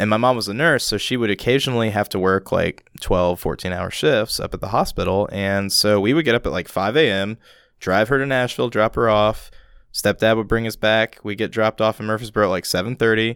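A man talks at a fairly quick pace with a fairly low pitch, ordinary pitch variation and an unremarkable speaking voice. The sound is dry and close with no echo, on a very clean recording with a silent background. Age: 20s. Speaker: musician and theater technician. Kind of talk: casual chat. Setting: studio.

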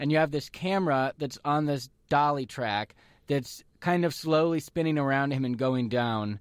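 This man has an unremarkable speaking voice, fairly high in pitch with ordinary variation. He talks at a moderate pace on a very clean recording with a silent background. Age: 30s. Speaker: radio host. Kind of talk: casual chat.

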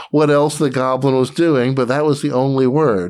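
This man has a fairly high pitch and a normal speaking voice, talking at a moderate pace with an American accent. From US South, Atlanta, Georgia. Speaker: game designer. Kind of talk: interview.

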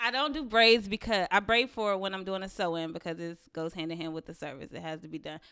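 Talking at a very fast pace with hardly any pauses, a woman with a North Carolina accent uses a medium pitch and lively intonation. Her loudness swings widely on a very clean recording with a silent background. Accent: Southern US, North Carolina. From Waxhaw, North Carolina. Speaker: hair salon owner. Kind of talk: casual chat.

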